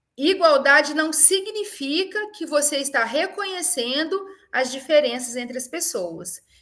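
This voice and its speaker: A woman with a high-pitched, bright, sharp voice projects it loudly with lively intonation, and the room echo is audible. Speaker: university professor. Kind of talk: webinar lecture. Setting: online webinar.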